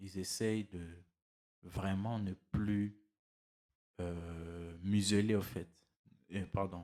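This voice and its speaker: A man speaks at a very slow pace with a very deep, low pitch, a dark, mellow tone, monotone, flat intonation and long, frequent pauses. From DR Congo. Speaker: motivational YouTuber. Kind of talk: motivational monologue. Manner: halting, with many repetitions and fillers.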